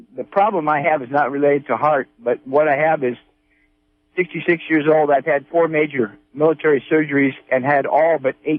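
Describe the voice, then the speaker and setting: A man with a normal speaking voice and an American accent talks at a moderate pace, with a fairly high pitch and fairly even intonation. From northern California. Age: 60s. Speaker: caller. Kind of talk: phone-in question.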